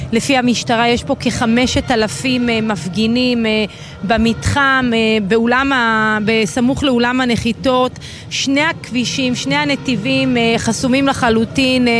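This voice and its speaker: A woman's fairly high voice at a very slow pace, with very even loudness, ordinary pitch variation and noticeable background noise. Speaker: field reporter. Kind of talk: live field report. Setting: inside a news van at a protest.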